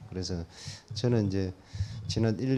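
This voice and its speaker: A man speaks at a moderate pace with a dark, mellow tone. His fairly low pitch shows ordinary variation. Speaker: church member giving testimony. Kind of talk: testimony. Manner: halting, many fillers.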